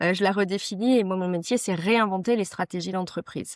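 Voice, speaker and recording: A woman at medium pitch, with a dry, close sound and no echo. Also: very clean recording, silent background. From Vosges, eastern France. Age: 40s. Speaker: ecological transition and workplace wellbeing consultant. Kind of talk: podcast interview. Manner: hesitant, many fillers.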